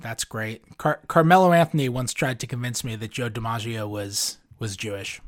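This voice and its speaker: A man with an American accent has an unremarkable speaking voice, medium pitch, ordinary pitch variation and a moderate pace with hardly any pauses. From New York City. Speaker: sports beat writer. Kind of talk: interview.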